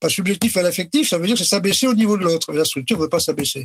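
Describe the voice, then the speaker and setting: Recorded with a dry, close sound and no echo, a man speaks with lively intonation. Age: 70s. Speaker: retired company director. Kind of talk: casual interview.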